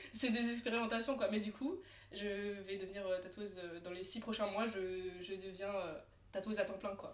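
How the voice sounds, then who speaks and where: A woman at medium pitch, animated in tone and moderate in pace, with audible room echo. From France, Alsace (Colmar). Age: 20s. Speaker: tattoo artist. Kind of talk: casual chat. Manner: animated, many fillers.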